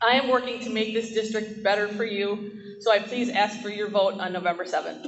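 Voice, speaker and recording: A woman talks at a fairly quick pace. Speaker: school board candidate. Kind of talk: campaign closing statement. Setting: public forum in school. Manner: animated.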